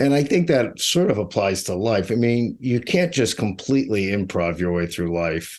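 A man with an American accent, at a moderate pace with very wide pitch swings and hardly any pauses, against a quiet background. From Pittsburgh, Pennsylvania. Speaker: author and music journalist. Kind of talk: interview. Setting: remote call from home. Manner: halting, many repeated words.

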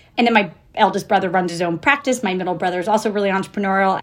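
A woman of medium pitch speaks with ordinary pitch variation in a very clean recording with a silent background. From Florida, US South. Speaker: entrepreneur and investor. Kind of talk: interview.

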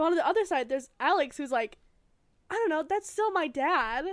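A woman with an American accent and lively intonation at a fairly quick pace, in a very clean recording with a silent background. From US, suburb near a city. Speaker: podcast co-host. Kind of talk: casual chat.

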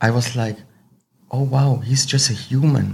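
A man speaks with a fairly high pitch. His voice is somewhat breathy. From Switzerland (Zurich), Slovenian-Croatian family. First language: Swiss German or Slovenian/Croatian. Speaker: Muay Thai fighter and coach. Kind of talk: casual interview.

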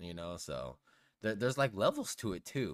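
Lively intonation marks this man's speech at a moderate pace. His voice has vocal fry. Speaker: podcast co-host. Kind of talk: casual chat. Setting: home recording with mics.

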